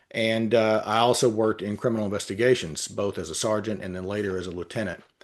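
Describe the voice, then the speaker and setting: Over a quiet background, a man with a Texan accent talks very fast at a fairly low pitch, with ordinary pitch variation. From Texas. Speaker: retired police officer and litigation consultant. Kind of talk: interview. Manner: halting, many filler words.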